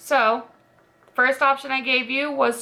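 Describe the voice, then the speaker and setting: A woman at a fairly slow pace. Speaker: beauty youtuber. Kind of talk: makeup tutorial. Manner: casual, filler-heavy; quiet while doing liner.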